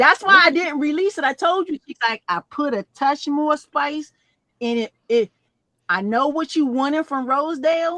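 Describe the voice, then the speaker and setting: A woman uses a raised, projected voice at a high pitch, her tone bright and sharp and her intonation lively, moving at a moderate pace in a dry, close sound with no echo. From DC area (DMV). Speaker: perfumer. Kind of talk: casual chat.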